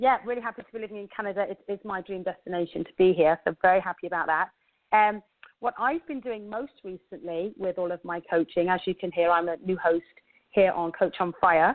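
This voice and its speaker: Using an English accent, a woman speaks at a medium pitch and a fairly quick pace, her loudness swinging widely. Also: ordinary pitch variation. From England. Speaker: radio show host and life coach. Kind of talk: radio show monologue. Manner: hesitant with frequent fillers.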